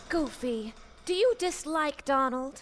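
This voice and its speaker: A female-sounding, high-pitched put-on character voice at a fairly slow pace, with clear background noise. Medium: audio drama. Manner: sweet, polite, soothing.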